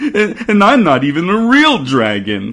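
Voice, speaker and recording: Using a put-on character voice with a high pitch, a man speaks at a fairly slow pace. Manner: sad.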